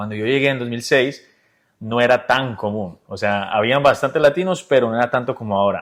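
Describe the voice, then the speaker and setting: Against a silent background on a very clean recording, a man speaks at a fairly quick pace. He has an ordinary speaking voice at medium pitch with ordinary pitch variation. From Colombia, Bucaramanga. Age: 30s. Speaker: insurance business owner. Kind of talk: casual interview. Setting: at his home.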